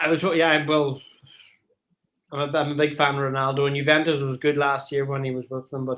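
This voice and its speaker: A man with an Irish accent speaks at a fairly quick pace, his fairly high voice held in a flat monotone. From Ireland, Donegal. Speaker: caller on live stream. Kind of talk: casual chat.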